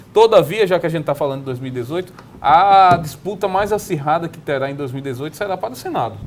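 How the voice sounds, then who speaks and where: Music plays in the background as a man talks at a very fast pace. His fairly high voice has lively intonation. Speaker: political commentator. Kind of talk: panel debate.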